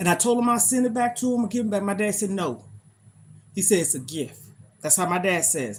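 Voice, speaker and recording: A woman at medium pitch, fairly quick, with very wide pitch swings and vocal fry. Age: 50s. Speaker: lifestyle livestreamer. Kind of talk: casual livestream chat. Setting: livestream.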